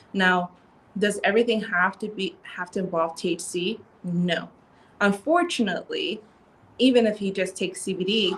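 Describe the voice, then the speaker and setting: A woman of medium pitch sounds somewhat breathy. She leaves long, frequent pauses. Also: ordinary pitch variation, moderate pace. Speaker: CBD store co-owner and clinical psychologist. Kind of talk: casual interview chat.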